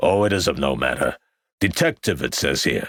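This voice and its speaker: In a put-on character voice, a man booms at a very deep, low pitch, raspy, with very wide pitch swings, very even loudness, a moderate pace, and a dry, close sound with no echo. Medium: read story. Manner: brash, brusque.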